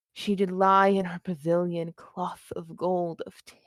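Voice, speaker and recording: A woman speaks at a fairly slow pace in an unremarkable speaking voice of medium pitch, with a dry, close sound and no echo. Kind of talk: Shakespeare monologue performance.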